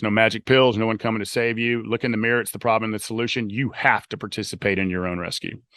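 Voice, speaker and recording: A man's bright, sharp voice with a Southern US accent, medium in pitch and fairly even in intonation, delivered at a very fast pace with hardly any pauses, dry and close with no echo against a quiet background. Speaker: author and life coach. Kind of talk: podcast interview.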